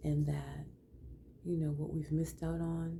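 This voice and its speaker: A woman with a warm tone, plus audible room echo. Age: 60s. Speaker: lifestyle vlogger for older women. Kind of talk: personal testimony and advice. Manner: warm, conversational.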